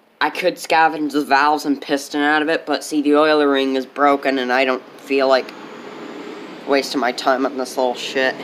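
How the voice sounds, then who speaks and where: A man with a fairly high pitch talks at a moderate pace in a monotone, flat delivery, with noticeable background noise behind him. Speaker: small engine repair hobbyist. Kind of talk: casual tutorial. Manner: shaky.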